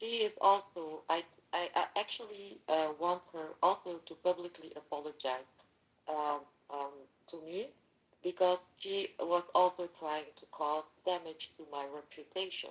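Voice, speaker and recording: A woman speaks at a fairly slow pace with a fairly low pitch and big swings in loudness. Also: ordinary pitch variation. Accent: non-native. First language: not English. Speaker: participant in a mock online court. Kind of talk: heated debate. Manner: halting, many fillers.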